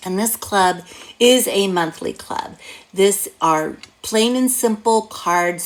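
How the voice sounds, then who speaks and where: This is a woman's voice at medium pitch. Her intonation is lively. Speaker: craft demonstrator and card-making teacher. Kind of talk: tutorial. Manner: animated.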